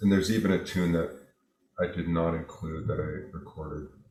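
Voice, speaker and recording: In an American accent, a man with a very deep, low pitch talks at a moderate pace amid audible room echo. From New York. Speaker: jazz guitarist. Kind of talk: interview. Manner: halting.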